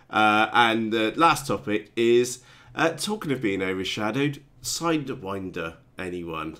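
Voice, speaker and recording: Bright, sharp tone from a man with a British accent, medium pitch, lively intonation and a fairly slow pace. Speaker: RC hobby youtuber. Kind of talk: live stream chat. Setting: live stream. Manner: halting, many fillers.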